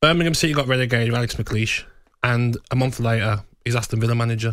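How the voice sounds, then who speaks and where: The man talks very fast. Behind him the background is quiet. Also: dry sound with no echo. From England. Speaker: radio co-host. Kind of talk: heated argument. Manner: animated. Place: studio. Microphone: studio mic.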